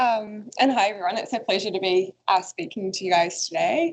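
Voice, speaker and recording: Speaking with a New Zealand accent, a woman uses lively intonation in a fairly high pitch at a moderate pace. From New Zealand, Waikato (Morrinsville). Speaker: coastal researcher. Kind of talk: career talk presentation.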